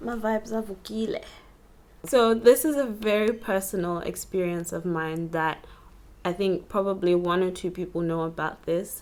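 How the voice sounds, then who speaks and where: A woman talks in a soft-spoken way. Her pitch sits in the medium range. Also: ordinary pitch variation. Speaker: vlogger. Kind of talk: personal storytelling vlog. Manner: slow.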